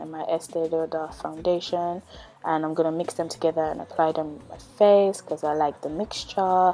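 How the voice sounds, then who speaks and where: A woman's fairly low, monotone, flat voice at a moderate pace, with light background noise. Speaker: beauty vlogger. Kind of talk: tutorial. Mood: calm, friendly.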